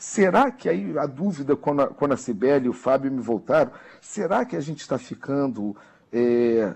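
This man has an unremarkable speaking voice, medium in pitch, with lively intonation and a moderate pace. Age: middle-aged. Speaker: social media analyst commentator. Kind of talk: radio news commentary.

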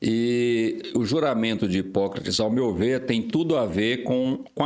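A man speaks at a very slow pace, his medium pitch rising and falling in an ordinary way. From Brazil, Goiás interior. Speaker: vascular surgeon. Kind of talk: casual chat.

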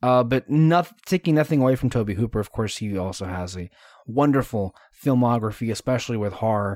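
Talking at a fairly quick pace with lively intonation, a man with a medium-pitched voice is heard in a very clean recording with a silent background and a dry, close sound with no echo. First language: Spanish. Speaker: podcast host. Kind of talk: casual chat. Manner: animated.

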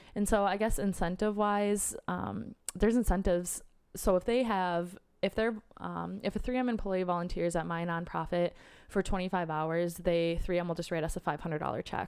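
With an American accent, a woman speaks in an ordinary speaking voice at a fairly low pitch, with ordinary pitch variation and a moderate pace, on a very clean recording with a silent background. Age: 20s. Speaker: nonprofit worker. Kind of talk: casual interview. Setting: in person.

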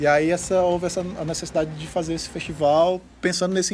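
The man speaks at a moderate pace with a high pitch. His pitch variation is ordinary. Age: 30s. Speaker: musician and studio owner. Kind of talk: casual chat. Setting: studio.

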